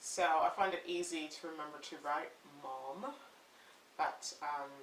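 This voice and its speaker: A woman's very deep, low voice at a fairly slow pace, with ordinary pitch variation, big swings in loudness and noticeable background noise. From Canada. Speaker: parenting blogger. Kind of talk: casual talk to camera.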